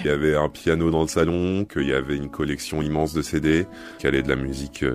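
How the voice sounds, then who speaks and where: A man speaks in a very deep, low voice, monotone and flat, at a fairly quick pace. Music plays in the background. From Egypt (Cairo). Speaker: singer. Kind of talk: interview answer.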